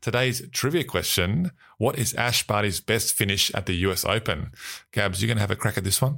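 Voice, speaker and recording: Fairly quick speech comes with a bright, sharp tone and very even loudness. The recording is very clean, with a silent background. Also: man, fairly low pitch for a man, lively intonation. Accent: Australian. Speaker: sports news podcast host. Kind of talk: scripted news reading.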